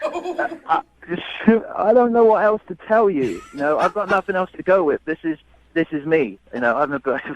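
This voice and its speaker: A man with a British accent speaks at a moderate pace in a high pitch with very wide pitch swings, his sound dry and close with no echo, over noticeable background noise. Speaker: man on a date. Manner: hesitant, halting.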